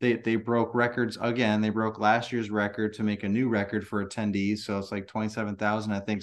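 Against a quiet background, a man speaks at a moderate pace. His is an unremarkable speaking voice with a medium pitch. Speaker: lawn care business owner and podcaster. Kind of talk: casual interview. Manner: repetitive, filler-heavy speech.

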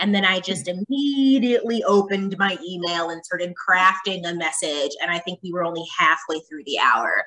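Pitched fairly low for a woman, her bright, sharp voice moves at a moderate pace with few pauses and ordinary pitch variation.

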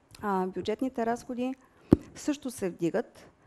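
With light background noise behind her, a woman speaks at a fairly slow pace in a dark, mellow tone with ordinary pitch variation. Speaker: central bank board member. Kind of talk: panel discussion. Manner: halting, many filler sounds. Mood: calm, analytical. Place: studio. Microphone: headset.

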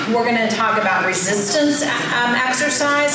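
Loud background noise fills this recording of a woman. There is audible room echo. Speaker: conference presenter. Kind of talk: lecture. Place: hall.

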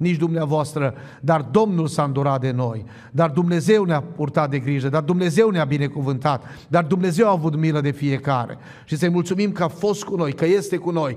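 A man's fairly quick speech with ordinary pitch variation. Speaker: preacher. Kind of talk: sermon. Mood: fervent, thankful. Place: church. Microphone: podium.

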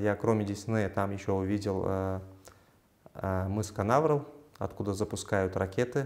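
At a moderate pace broken by long, frequent pauses, a man speaks with a fairly low pitch and fairly even intonation. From Uzbekistan, Samarkand; Uzbekistan. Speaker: physicist and university assistant lecturer; university assistant lecturer. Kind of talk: interview. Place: office. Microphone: lapel.

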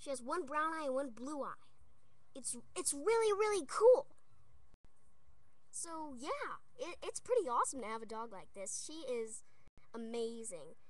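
Speech moves at a moderate pace, broken by long and frequent pauses. The sound is dry, with no echo. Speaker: dog owner. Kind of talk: casual talk to camera. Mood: affectionate, proud. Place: home room. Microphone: webcam.

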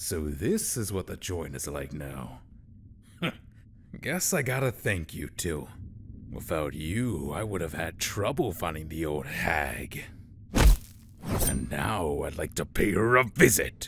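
In a cartoonish character voice, a man speaks at a very deep, low pitch with lively intonation, a fairly slow pace and long, frequent pauses, against clear background noise. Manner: smug, menacing, casual slang.

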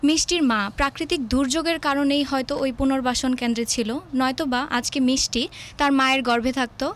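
A woman's high-pitched voice, very even in loudness, with fairly even intonation. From Bangladesh. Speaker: university student debater. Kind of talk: storytelling debate speech.

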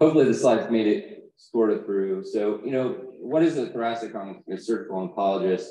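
The voice has a dark, mellow tone and lively intonation, with an American accent. It moves at a fairly quick pace. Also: man, medium pitch for a man. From Texas. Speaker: thoracic surgeon. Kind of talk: conference talk. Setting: stage with audience.

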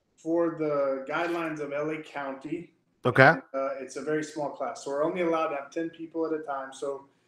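A man's voice with audible room echo, fairly even intonation and a moderate pace. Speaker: guest. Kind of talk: interview answer. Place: office. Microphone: video call.

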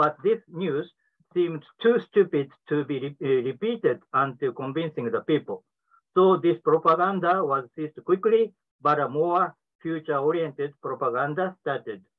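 A man with a Japanese accent at a moderate pace, against a quiet background. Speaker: professor, discussant; professor. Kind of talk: prepared academic commentary. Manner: reading from a prepared text. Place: office. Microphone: webcam.

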